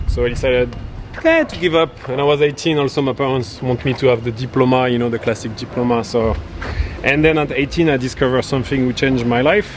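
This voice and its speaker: A man speaks at a very fast pace with a French accent. His intonation is fairly even, and there is noticeable background noise. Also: medium pitch for a man. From France, Paris suburbs. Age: 30s. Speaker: startup founder. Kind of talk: street interview.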